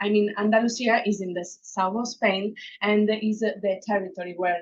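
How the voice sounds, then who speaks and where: A woman with an Italian accent talks at a medium pitch in a monotone, flat intonation. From Italy. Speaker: researcher. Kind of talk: academic presentation. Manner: halting, many fillers.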